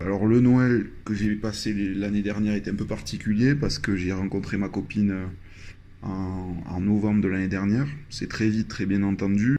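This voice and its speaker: Speaking with a southwestern French accent, a man uses a fairly low, dark, mellow voice at a moderate pace. His intonation is fairly even, and room echo can be heard. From southwest France, Landes. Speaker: traveler sharing experience. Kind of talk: personal storytelling. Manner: hesitant, many fillers.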